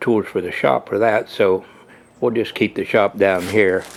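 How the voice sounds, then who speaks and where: Noticeable background noise runs under a man with fairly low pitch. He keeps a moderate pace and fairly even intonation. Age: 70s. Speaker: hobby machinist. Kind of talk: casual shop tour walkthrough. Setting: basement workshop. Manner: halting, many fillers.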